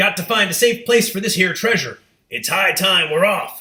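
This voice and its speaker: Using a put-on character voice, a man bellows loudly at a high pitch and a moderate pace. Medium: read story. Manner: loud, bellowing.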